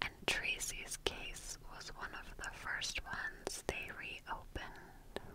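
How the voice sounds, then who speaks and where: A soft-spoken woman is heard over loud background noise. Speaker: true crime narrator. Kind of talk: storytelling commentary. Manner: soft, close-mic ASMR narration. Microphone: studio mic.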